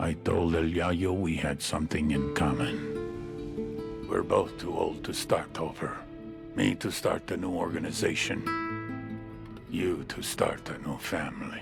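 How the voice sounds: A put-on character voice from a man, extremely low-pitched with vocal fry, fairly even intonation and a fairly slow pace over clear background music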